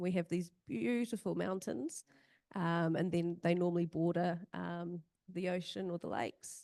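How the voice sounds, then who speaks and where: With a New Zealand accent, a woman speaks at a fairly slow pace in a dark, mellow tone at a fairly low pitch with ordinary pitch variation, recorded dry and close with no echo against a quiet background. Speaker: emergency management practitioner and search and rescue volunteer. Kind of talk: conference presentation. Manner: hesitant with many fillers.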